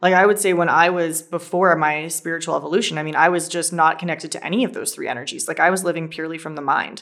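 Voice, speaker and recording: Rushing along at a very fast pace with hardly any pauses, a woman speaks in a fairly low voice with fairly even intonation. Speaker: podcast co-host, spiritual teacher.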